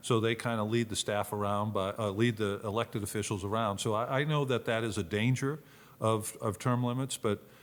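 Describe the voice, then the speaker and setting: At a fairly quick pace, a man of medium pitch speaks with fairly even intonation and very even loudness on a very clean recording with a silent background. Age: 60s. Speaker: retired football player and Senate candidate. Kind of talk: casual interview. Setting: studio-style room in a venue. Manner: halting, frequent repetitions.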